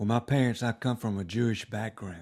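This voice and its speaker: Speaking with an Alabama accent, a man keeps a fairly low pitch, fairly even intonation and a moderate pace. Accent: Southern US (Alabama). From US South, Montgomery, Alabama. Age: 70s. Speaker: retired lawyer. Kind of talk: oral history interview. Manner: hesitant, many fillers.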